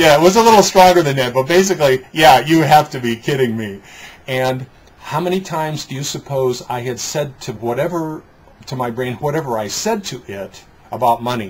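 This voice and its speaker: With an American accent, a man speaks at a fairly high pitch, with lively intonation and big swings in loudness. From Detroit, US Midwest. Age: 60s. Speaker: business coach and trainer. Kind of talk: interview conversation. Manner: halting, with repetitions and fillers.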